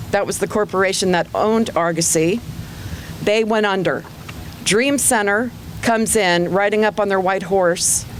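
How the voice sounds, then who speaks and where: Long, frequent pauses break up a woman's speech, which keeps very even loudness and fairly even intonation over noticeable background noise. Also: medium pitch for a woman, moderate pace. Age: 60s. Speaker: psychologist, student debtor speaking at a protest. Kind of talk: public testimony. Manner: impassioned.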